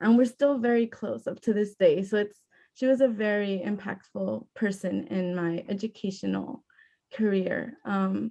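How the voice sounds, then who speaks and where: A woman's dark, mellow voice with a Spanish accent, medium in pitch, with ordinary pitch variation at a moderate pace. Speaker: youth panelist. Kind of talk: panel discussion.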